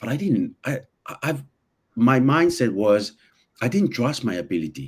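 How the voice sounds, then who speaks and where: Vocal fry runs through this man's medium-pitched voice as he speaks at a moderate pace with very wide pitch swings. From an island, non-native English region. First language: not English. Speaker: personal development guest. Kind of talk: casual podcast conversation. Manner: halting, many repetitions.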